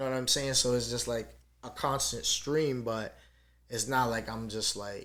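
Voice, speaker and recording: A man's voice with fairly even intonation and big swings in loudness, in audible room echo. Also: medium pitch for a man, moderate pace. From Dominican Republic. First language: Spanish. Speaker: rapper. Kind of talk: podcast interview. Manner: casual, many fillers.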